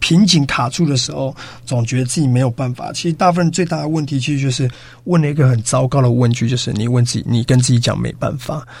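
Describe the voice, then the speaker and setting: A man talks at a very fast pace in a medium-pitched voice that is somewhat breathy. His pitch varies in an ordinary way. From Taiwan, Yilan. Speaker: business coach, education founder. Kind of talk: radio interview. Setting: radio studio.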